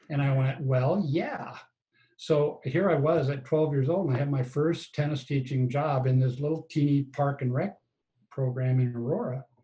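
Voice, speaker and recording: With an American accent, a man of fairly high pitch speaks at a moderate pace, his tone dark and mellow, somewhat breathy, his intonation fairly even. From Colorado, US. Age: 70s. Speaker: tennis coach and author. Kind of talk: interview.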